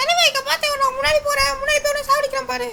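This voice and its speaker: This is a put-on character voice, squeaky and extremely high in pitch. It moves at a fairly quick pace. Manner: aggressive, vowing to fight the enemy.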